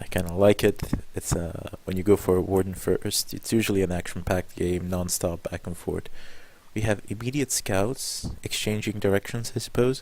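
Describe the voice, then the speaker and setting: A man speaks quietly at a moderate pace, his pitch fairly low. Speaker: game commentator. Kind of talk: live commentary.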